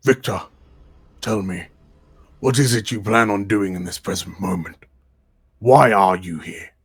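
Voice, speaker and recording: This is a put-on character voice, raspy and delivered at a moderate pace. Long pauses come often. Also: man, fairly low pitch for a man. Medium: actual play. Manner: smooth, patronizing.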